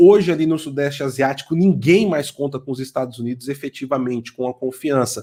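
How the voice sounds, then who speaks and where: A dark, mellow tone marks this man's voice on a very clean recording with a silent background. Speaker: political commentator. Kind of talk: podcast discussion. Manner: halting.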